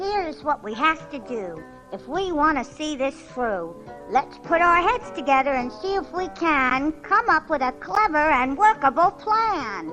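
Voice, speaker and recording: A put-on character voice, high in pitch, at a moderate pace over clear music in the background. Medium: read story.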